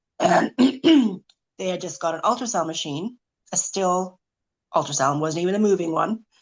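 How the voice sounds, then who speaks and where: A woman speaks with lively intonation. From Canada, rural British Columbia. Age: 40s. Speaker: omphalocele survivor. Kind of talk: testimony, partly read aloud.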